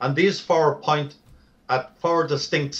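A man speaks with a Dublin accent. His intonation stays fairly even. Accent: Irish (Dublin). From Ireland, Dublin. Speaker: author on Bible prophecy. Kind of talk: interview.

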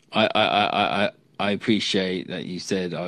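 The man's pitch is very deep and low, with fairly even intonation. The sound is dry, with no echo. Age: 30s. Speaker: streamer. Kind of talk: casual chat. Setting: video call. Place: home room.

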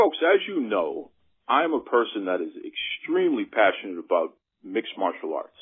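A man speaking at a moderate pace. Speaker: wrestling podcast host. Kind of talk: interview. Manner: enthusiastic.

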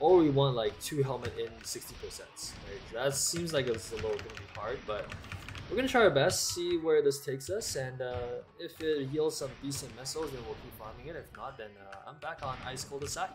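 With music in the background, a man speaks at a fairly high pitch, his loudness swinging widely. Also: ordinary pitch variation, fairly quick pace. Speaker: gaming streamer. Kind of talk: live gameplay stream chat. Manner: casual, conversational.

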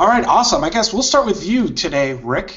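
Lively intonation from a man with an ordinary speaking voice, at a moderate pace. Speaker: livestream host. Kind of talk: live tech discussion. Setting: video call. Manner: upbeat.

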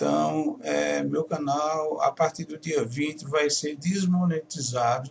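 At a very slow pace, a man speaks in a fairly high voice over light background noise. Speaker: home studio YouTuber teaching audio lessons. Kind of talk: casual vlog announcement to viewers. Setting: home studio. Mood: worried, disappointed. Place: home room.

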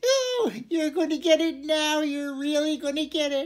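Put on as a character voice, the speech comes out squeaky and high-pitched at a moderate pace. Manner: frightened, bluffing.

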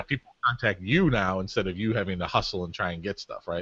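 A man speaks at a very fast pace in a fairly low pitch with a bright, sharp tone. His pitch varies in an ordinary way, and the sound is dry with no echo. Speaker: host and event organizer. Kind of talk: interview host, casual talk to camera. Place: home room. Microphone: studio mic.

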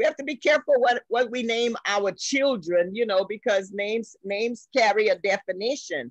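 The speech moves at a moderate pace with hardly any pauses. The sound is dry with no echo, and the background is quiet. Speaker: guest teacher of a church women's group. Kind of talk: bible study lecture. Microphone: video call.

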